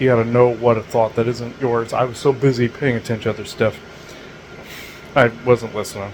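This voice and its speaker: Medium-pitched male speech, fairly quick and monotone, flat in intonation, over noticeable background noise. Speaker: spiritual channeler podcast host. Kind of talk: casual monologue. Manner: halting, stammering.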